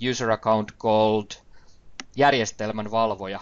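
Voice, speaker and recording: A man speaks with a Finnish accent. His pitch sits in the medium range. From Finland. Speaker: IT trainer. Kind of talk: webinar presentation. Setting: online webinar. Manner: hesitant, with fillers.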